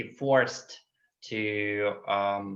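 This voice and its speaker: This man speaks at a fairly low pitch. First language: Russian. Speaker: LGBTQ activist. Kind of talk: webinar Q&A answer. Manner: halting, many fillers.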